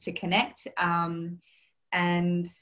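Her pitch fairly low, a woman talks in an Australian accent. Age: 30s. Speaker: interview guest sharing dating experience. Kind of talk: casual interview, personal testimony. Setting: video call.

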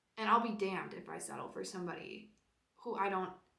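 A woman talks at a fairly quick pace and medium pitch, bright and sharp in tone. Her intonation is fairly even, and audible room echo surrounds her. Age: 20s. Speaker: podcast host. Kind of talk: casual solo monologue.

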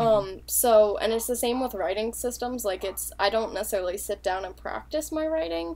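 An unremarkable speaking voice, a woman with an American accent talks at a fairly quick pace and medium pitch, with lively intonation and hardly any pauses. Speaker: language-learning podcast co-host. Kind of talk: casual chat.

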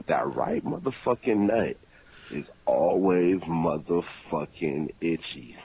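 A man speaks with a very deep, low pitch. Noticeable background noise runs under his voice. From California. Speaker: caller. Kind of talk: voicemail message.

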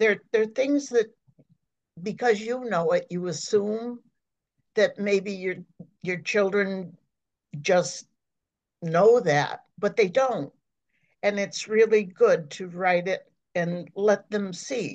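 With long, frequent pauses, a woman speaks at a very slow pace. Her pitch is medium. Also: ordinary pitch variation. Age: 80s+. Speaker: retired nurse and memoir writer. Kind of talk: interview.

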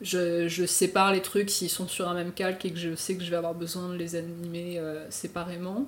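Monotone and flat, a woman's fairly low voice proceeds at a moderate speed. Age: 20s. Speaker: motion designer and illustrator. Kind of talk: casual chat. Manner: halting.

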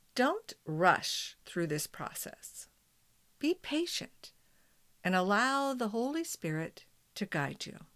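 A woman speaks at a very slow pace with long, frequent pauses and a fairly high pitch. Her tone is gentle and calm, with very wide pitch swings and big swings in loudness. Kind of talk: guided meditation. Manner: slow, calm, soothing, with long pauses; gentle, prayerful, soft-spoken.

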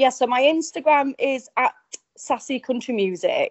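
With an English accent, a woman speaks using ordinary pitch variation. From England. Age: young. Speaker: country singer. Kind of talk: interview.

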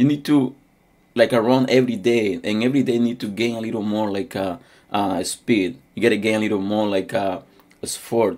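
Speaking at a fairly quick pace, a man with a non-native accent uses a medium pitch. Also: fairly even intonation, very clean recording, silent background. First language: not English. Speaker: preacher. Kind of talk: sermon. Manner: halting.

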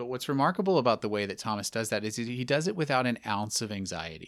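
In an American accent, a man uses a plain, everyday voice at medium pitch. He talks at a fairly quick pace in a very clean recording with a silent background. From Texas. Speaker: theology professor. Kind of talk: lecture-style interview explanation.

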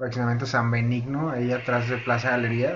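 Noticeable background noise runs through the clip. Speech moves at a moderate pace. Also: man. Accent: Mexican. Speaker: podcast co-host, freelance chef. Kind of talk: casual chat. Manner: animated.

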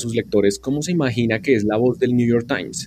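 An unremarkable speaking voice moves at a fairly quick pace. Its pitch variation is ordinary. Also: man. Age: 30s. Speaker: radio journalist and podcast teacher. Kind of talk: interview.

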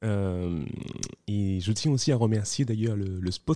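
Against a quiet background, a man with a fairly low pitch and a dark, mellow tone speaks at a very slow pace with ordinary pitch variation, the sound dry and close with no echo. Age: 30s. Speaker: podcast host. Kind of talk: casual interview. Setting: coworking space.

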